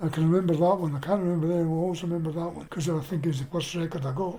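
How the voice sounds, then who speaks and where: A man with a Scottish accent speaks in a high voice with fairly even intonation. Noticeable background noise can be heard. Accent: Scottish, Edinburgh. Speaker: oral history interviewee. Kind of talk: casual reminiscence interview. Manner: halting.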